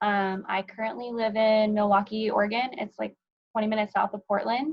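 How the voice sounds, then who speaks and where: A woman speaks at a moderate pace in a somewhat breathy voice. Her intonation stays fairly even. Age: 30s. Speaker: dog breeder. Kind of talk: panel discussion.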